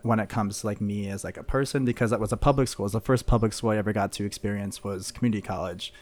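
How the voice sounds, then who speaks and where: In a very clean recording with a silent background, a man talks in a normal speaking voice at a fairly low pitch. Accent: American. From Missouri, St. Louis suburbs. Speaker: college student. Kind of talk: casual chat.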